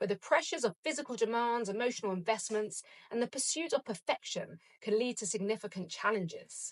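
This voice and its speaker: A woman with a British accent speaks fairly quickly at a fairly high pitch, her voice making very wide pitch swings. The sound is dry and close, with no echo. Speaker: podcast host; breast cancer survivor. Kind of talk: reflective solo podcast monologue. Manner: upbeat, motivational.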